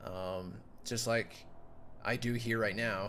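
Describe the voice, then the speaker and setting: In a room with audible echo, a man with a Dutch accent speaks at a moderate pace in a fairly low pitch with a bright, sharp tone. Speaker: YouTuber and electronic musician. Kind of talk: casual monologue, recounting a dream. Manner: halting, many fillers.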